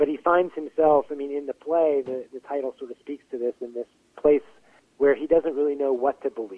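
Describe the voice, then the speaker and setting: A speaker with an American accent talks at a moderate pace with ordinary pitch variation. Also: man. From Pittsburgh area, western Pennsylvania. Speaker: playwright and actor. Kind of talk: interview. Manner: halting, many fillers.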